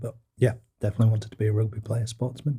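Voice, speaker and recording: Here a man talks at a very fast pace. He sounds somewhat breathy. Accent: British. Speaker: small business co-owner, former engineer. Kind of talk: interview podcast.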